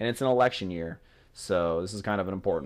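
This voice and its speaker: A man with an American accent speaks at a very fast pace in a fairly low voice. His pitch varies in an ordinary way, and the background is quiet. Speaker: gaming vlogger. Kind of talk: casual gameplay commentary. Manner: slurred words.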